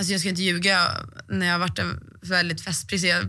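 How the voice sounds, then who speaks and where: Over a quiet background, a woman with a fairly low pitch, vocal fry, and a bright, sharp tone speaks at a fairly quick pace with ordinary pitch variation. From Sweden. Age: 20s. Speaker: athlete; guest. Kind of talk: interview. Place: studio. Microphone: studio mic.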